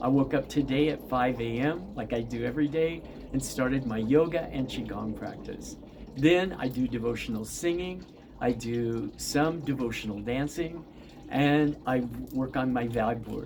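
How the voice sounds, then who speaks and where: A man talks at a moderate pace while audible room echo and noticeable background noise are heard around him. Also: medium pitch for a man, ordinary pitch variation. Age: 70s. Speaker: yoga teacher and spiritual teacher. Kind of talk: casual monologue to viewers.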